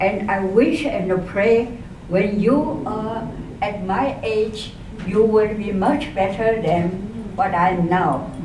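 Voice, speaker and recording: With a Chinese accent, a woman talks at a very slow pace and medium pitch with ordinary pitch variation, amid noticeable background noise and audible room echo. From eastern China, Jiangsu. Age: 80s+. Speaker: elderly speaker telling life story. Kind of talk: personal testimony talk. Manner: halting, many hesitations.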